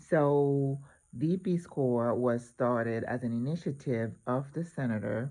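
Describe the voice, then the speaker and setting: Speaking fairly slowly with an American accent, a man uses a medium pitch, a dark, mellow tone and ordinary pitch variation. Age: 60s. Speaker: retired nurse, volunteer. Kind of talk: vlog explanation.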